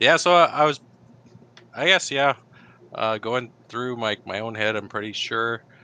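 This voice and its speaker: A man with a Canadian accent talks in a bright, sharp tone. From Canada, northern British Columbia. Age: 30s. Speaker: engineer, typing session client. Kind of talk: interview. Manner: hesitant, many fillers.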